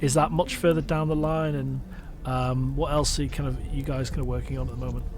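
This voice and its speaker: A man with a northwest English accent at a fairly quick pace, music in the background and audible room echo. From northwest England. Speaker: podcast host. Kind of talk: casual interview chat.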